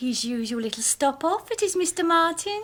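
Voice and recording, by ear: Using a put-on character voice, a woman speaks at a moderate pace with an extremely high pitch, big pitch swings and a fairly bright tone.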